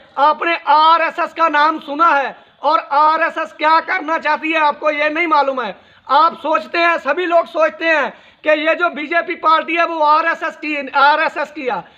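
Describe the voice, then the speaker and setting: A raised, projected voice with a bright, sharp tone speaks in a monotone, flat intonation with a Punjabi accent. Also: man, extremely high pitch for a man. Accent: Punjabi-accented Hindi. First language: Punjabi (speaking Hindi). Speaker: social media commentator. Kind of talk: video monologue on current affairs. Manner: halting.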